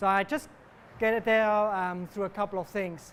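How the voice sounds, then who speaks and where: A man with a Swiss German accent, high in pitch, at a moderate pace with ordinary pitch variation. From German-speaking Switzerland. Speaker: cancer researcher. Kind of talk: popular science talk.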